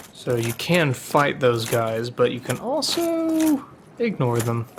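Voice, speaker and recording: Very slow speech from a woman, set against noticeable background noise. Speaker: let's play gamer. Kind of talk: gameplay commentary. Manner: sarcastic-sounding.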